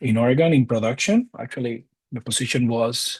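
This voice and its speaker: In a Cuban accent, a man speaks at medium pitch and a moderate pace. His voice is somewhat breathy. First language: Spanish. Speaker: data science instructor. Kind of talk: interview. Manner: hesitant, with fillers and repeats.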